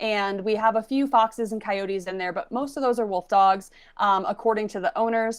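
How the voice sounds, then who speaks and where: A woman's fairly high voice with ordinary pitch variation, at a fairly quick pace against a quiet background. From Minnesota, USA. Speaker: wolf sanctuary executive director. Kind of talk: podcast interview answer.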